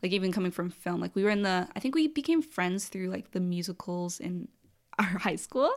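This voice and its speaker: A woman speaks in a normal speaking voice at medium pitch, with ordinary pitch variation. Her recording is very clean, the background silent. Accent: Canadian. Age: 20s. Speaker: R&B singer-songwriter. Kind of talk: casual chat.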